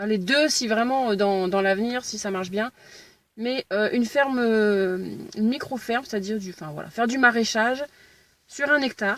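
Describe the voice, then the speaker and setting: This woman talks at a moderate pace and fairly high pitch with ordinary pitch variation. Long pauses come often. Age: 30s. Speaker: aspiring farmer vlogger. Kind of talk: casual vlog. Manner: halting.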